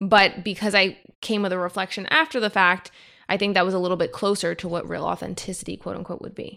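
Very fast and bright with a sharp tone, a woman speaks at a medium pitch with vocal fry and fairly even intonation, recorded very cleanly with a silent background. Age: 30s. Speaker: herbalist. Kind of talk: casual chat.

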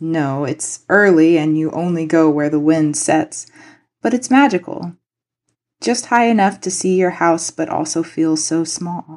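A woman with an American accent uses an ordinary speaking voice at a fairly slow pace, her pitch fairly low with ordinary pitch variation, over a quiet background. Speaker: poet. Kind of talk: reading aloud.

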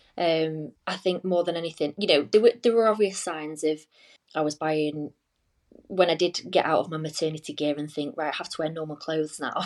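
With ordinary pitch variation and a fairly quick pace, a woman talks in a very deep, low pitch on a very clean recording with a silent background. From Cheshire, near Manchester, England. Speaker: weight loss consultant. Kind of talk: casual interview chat.

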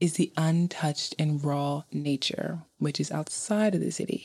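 A woman's very deep, low voice in a New York accent at a moderate pace, on a very clean recording with a silent background. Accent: New York American. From Brooklyn, New York. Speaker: podcaster and YouTuber. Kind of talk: travel narration.

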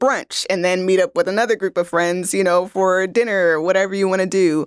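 In a plain, everyday voice, a woman speaks with an American accent at medium pitch and ordinary pitch variation. The sound is dry and close with no echo, a very clean recording over a silent background. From Los Angeles, US. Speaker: community program director. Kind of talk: interview.

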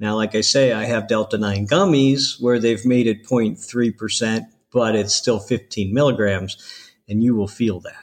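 Against a quiet background, a man with an American accent and an ordinary speaking voice talks at a moderate pace in a medium pitch with fairly even intonation. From Ohio, US Midwest. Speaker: CBD store owner. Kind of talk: interview.

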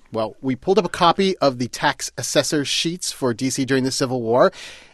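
A man's plain, everyday voice at medium pitch and a moderate pace, with lively intonation and a dry, close sound with no echo. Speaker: podcast host. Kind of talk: educational podcast narration. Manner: playful.

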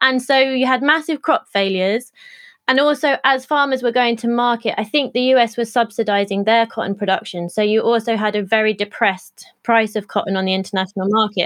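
Against a quiet background, a woman with a fairly high pitch talks at a fairly quick pace with ordinary pitch variation. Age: 30s. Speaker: textile commons co-founder and designer. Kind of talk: interview conversation. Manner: halting.

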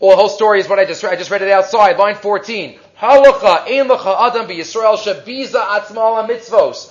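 The voice is plain reading aloud. Its intonation is lively.

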